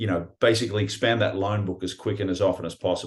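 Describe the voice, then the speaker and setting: A fairly low, somewhat breathy man's voice with an Australian accent, monotone and flat, at a fairly quick pace over a quiet background. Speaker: pawn shop owner and breathwork teacher. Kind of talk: casual interview. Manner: hesitant with fillers and repetitions.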